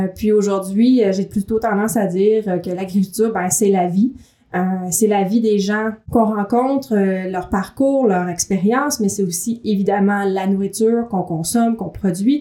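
Dark, mellow tone at a fairly slow pace, with fairly even intonation. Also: woman, medium pitch for a woman. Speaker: magazine editor and podcast co-host. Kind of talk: casual chat. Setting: echoey room. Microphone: room echo.

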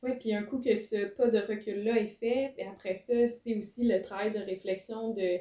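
Speaking fairly slowly with hardly any pauses, a woman in a Quebec accent keeps a flat, monotone intonation, a fairly high pitch and a dark, mellow tone. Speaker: podcast host. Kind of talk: interview conversation.

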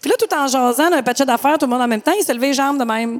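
A woman's high-pitched voice with noticeable background noise. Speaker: podcast co-host. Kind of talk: casual chat.

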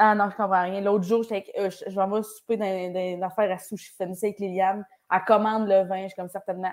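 A woman with a Quebec accent talks at a fairly quick pace and medium pitch with hardly any pauses, her intonation flat and monotone but her loudness swinging widely. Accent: Québécois French. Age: 20s. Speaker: comedian. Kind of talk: casual interview. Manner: talkative.

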